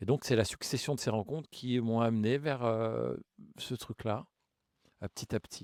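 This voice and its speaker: Long, frequent pauses break up a man's moderate pace and fairly even intonation at medium pitch. The sound is dry and close, with no echo. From Grigny, Essonne, Paris suburbs, France. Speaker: mayor. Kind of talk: interview. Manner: hesitant, many fillers.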